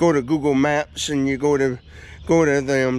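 Fairly even intonation marks this man's speech, delivered at a moderate pace. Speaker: local vlogger. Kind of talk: casual vlog chat. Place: open country. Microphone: phone near.

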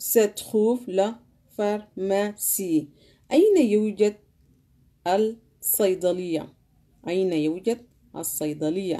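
Speaking with a Sudanese accent at a very slow pace, a woman uses a dark, mellow tone and a medium pitch with ordinary pitch variation, leaving long, frequent pauses against a quiet background. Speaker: language teacher. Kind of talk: language lesson. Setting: live stream. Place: home room. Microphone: phone near.

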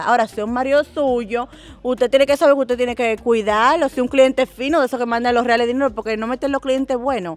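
In a Dominican accent, a woman with a high-pitched voice talks very fast with hardly any pauses, the sound dry with no echo. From Dominican Republic. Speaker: content creator; interviewee. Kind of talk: casual interview. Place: garden. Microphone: handheld.

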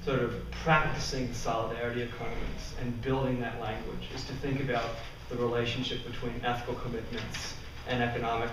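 Amid noticeable background noise and audible room echo, a man speaks in a flat monotone. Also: fairly quick pace. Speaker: conference presenter. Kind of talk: lecture. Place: classroom. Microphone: camera far.

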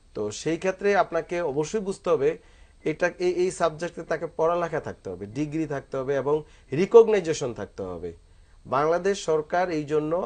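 Speaking in an ordinary speaking voice, the man has a fairly high pitch and ordinary pitch variation. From Bangladesh. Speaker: physiotherapy doctor; guest. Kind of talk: medical advice on TV talk show; interview answer. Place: studio. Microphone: lapel.

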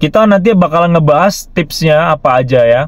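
A man speaks at a fairly slow pace. His pitch varies in an ordinary way, and the sound is dry with no echo. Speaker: car vlogger. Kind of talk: casual vlog tutorial. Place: car. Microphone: lapel.

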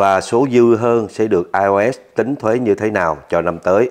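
A man with a fairly low voice talks at a very slow pace. His pitch moves in an ordinary way against a quiet background. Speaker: video channel host. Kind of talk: interview Q&A, reading viewer emails. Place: office.

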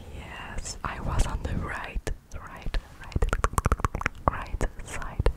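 Very slow whispering from a soft-spoken woman. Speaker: ASMR creator. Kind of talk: soft ASMR talk to viewer. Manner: soft close whisper, repeating words. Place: home room. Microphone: studio mic.

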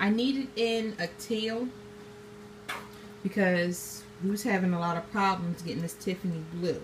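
Speaking at a very slow pace, a woman uses ordinary pitch variation over light background noise. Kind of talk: tutorial. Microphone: phone near.

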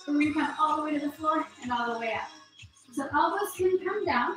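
A woman with a high pitch talks at a fairly quick pace with lively intonation, amid light background noise and audible room echo. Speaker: fitness instructor. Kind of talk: exercise class instruction. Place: home room. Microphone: camera far.

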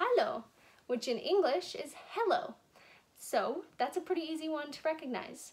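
A woman with an extremely high pitch talks at a moderate pace, leaving long, frequent pauses. Her pitch swings very widely and her loudness swings a lot. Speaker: teacher of a kids' language lesson. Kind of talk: tutorial for children. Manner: casual, friendly. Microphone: phone near.

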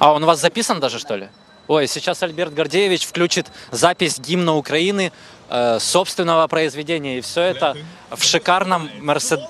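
A man speaks at a moderate pace with a fairly high pitch and ordinary pitch variation. The sound is dry with no echo, over light background noise. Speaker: TV reporter. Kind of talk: live field report. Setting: in a car. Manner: animated. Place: car. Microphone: handheld.

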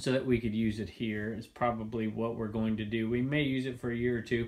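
This is a man speaking. His pace is fairly quick. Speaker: reseller vlogger. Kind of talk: casual vlog chat. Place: home room. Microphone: phone near.

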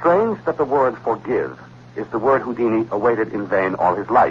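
A man talks at a fairly quick pace. Light background noise can be heard. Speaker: radio show host. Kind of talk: 1960s radio show narration, reading a historical account and a letter. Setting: vintage radio broadcast recording. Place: studio. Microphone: old recording.

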